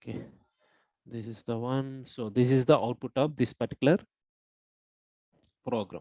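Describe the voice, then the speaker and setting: Soft-spoken, a man at medium pitch with a dark, mellow tone talks at a moderate pace with fairly even intonation, big swings in loudness and long, frequent pauses, in a dry, close sound with no echo. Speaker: online course instructor. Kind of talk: lecture. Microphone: too quiet.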